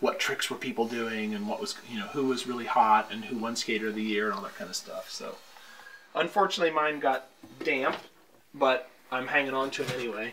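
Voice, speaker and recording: Over light background noise, a man speaks at a fairly quick pace with lively intonation. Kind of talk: interview answer. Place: home room.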